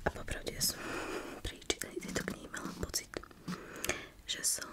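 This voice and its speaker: A woman whispering at a fairly quick pace, with noticeable background noise. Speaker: ASMR creator and book reviewer. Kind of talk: casual book review talk to camera. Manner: soft-spoken.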